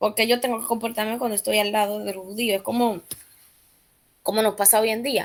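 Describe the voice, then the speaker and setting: A woman with a fairly high pitch speaks at a fairly quick pace in a monotone, flat intonation, with long, frequent pauses. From Dominican Republic. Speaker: Bible study teacher. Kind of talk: Bible study lesson. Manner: hesitant, many fillers.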